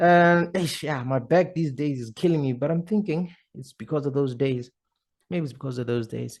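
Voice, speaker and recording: A man speaks at a moderate pace in a fairly high voice with ordinary pitch variation, over a quiet background. He has an unremarkable speaking voice. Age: 30s. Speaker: podcast host. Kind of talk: casual vlog monologue.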